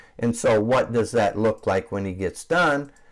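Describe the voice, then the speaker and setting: On a very clean recording with a silent background, a man talks at a moderate pace in an unremarkable speaking voice with ordinary pitch variation. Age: 60s. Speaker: roof cleaning business owner. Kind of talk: tutorial. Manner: casual, with frequent fillers.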